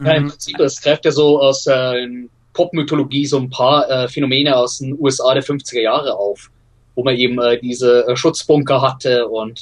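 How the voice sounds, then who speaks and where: This man's medium-pitched voice stays monotone and flat at a moderate pace. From Bavaria, Germany (Regensburg). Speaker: film scholar. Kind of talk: casual interview.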